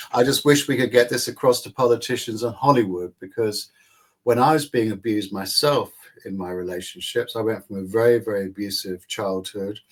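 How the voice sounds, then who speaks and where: In a normal speaking voice, a man talks at a medium pitch with ordinary pitch variation. His pace is fairly quick and his loudness swings widely. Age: 60s. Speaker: psychologist and author. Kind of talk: interview.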